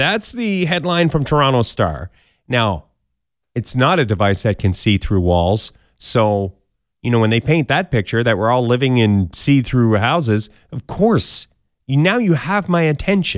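The recording is very clean, with a silent background. A man speaks at a fairly slow pace, his pitch swinging very widely. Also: medium pitch for a man, dry, close sound with no echo. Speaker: podcast host. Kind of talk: casual comedic news roundup. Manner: animated.

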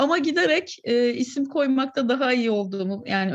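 A woman speaks in a somewhat breathy voice. Her intonation is lively. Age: 30s. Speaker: short story writer. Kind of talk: casual interview chat.

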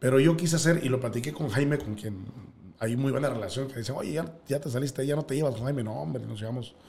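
Amid audible room echo, a man with a dark, mellow tone and vocal fry talks at a very fast pace, with medium pitch and ordinary pitch variation. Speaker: sports broadcaster and teacher. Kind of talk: casual interview.

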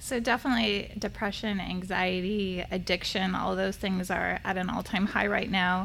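A voice with vocal fry and an American accent speaks at a moderate pace with ordinary pitch variation, very even loudness and hardly any pauses. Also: woman, medium pitch for a woman. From California. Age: 40s. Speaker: therapist. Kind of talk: casual chat.

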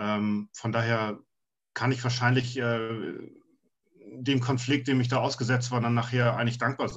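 Somewhat breathy, a man at a medium pitch talks at a fairly slow pace with long, frequent pauses. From Hamburg, northern Germany. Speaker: fantasy author. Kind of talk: casual interview.

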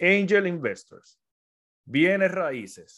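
A man is heard on an exceptionally clean recording where the background is completely silent. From Puerto Rico. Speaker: business mentor and podcaster. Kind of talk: livestream talk. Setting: social media live stream.

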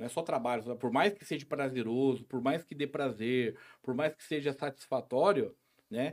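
An unremarkable speaking voice belongs to a man with a fairly high pitch, who talks at a moderate pace with ordinary pitch variation and big swings in loudness. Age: 40s. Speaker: local businessman and social project founder. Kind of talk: casual interview chat.

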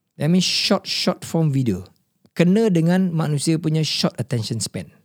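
Very clean, silent-background audio of a man speaking at a fairly high pitch. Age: 50s. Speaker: podcast host. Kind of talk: casual chat. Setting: studio.

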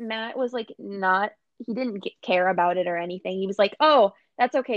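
A woman with an American accent talks at a moderate pace, using ordinary pitch variation. She has an ordinary speaking voice. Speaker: podcast co-host. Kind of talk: casual chat.

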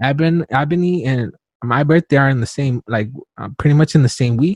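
Somewhat breathy, a man talks with ordinary pitch variation in a dry, close sound with no echo. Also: quiet background. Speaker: podcast host and stand-up comedian. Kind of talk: casual interview chat. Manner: fast talker.

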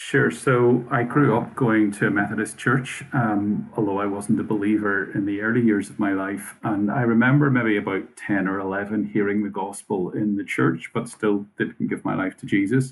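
Speaking with a Northern Irish accent at a moderate pace, a man keeps a fairly low pitch and fairly even intonation. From Northern Ireland. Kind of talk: casual interview. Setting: video call.

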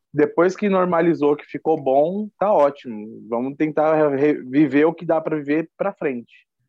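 A man with a plain, everyday voice, fairly high pitch and lively intonation at a fairly slow pace. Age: 30s. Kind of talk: interview testimony.

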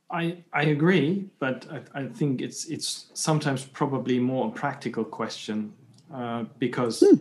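Here a man speaks at a moderate pace. His pitch is fairly high, with ordinary variation. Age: 40s. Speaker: podcast host. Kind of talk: casual interview conversation. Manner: halting, many repetitions.

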